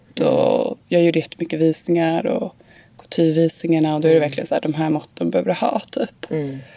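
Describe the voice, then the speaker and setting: Against noticeable background noise, a woman talks at a fairly quick pace and a fairly low pitch with lively intonation. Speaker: fashion model. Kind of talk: casual interview.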